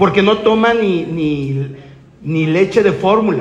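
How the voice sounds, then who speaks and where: Through audible room echo and noticeable background noise, a man speaks at a high pitch with ordinary pitch variation. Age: 50s. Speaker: network marketing speaker. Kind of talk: motivational talk.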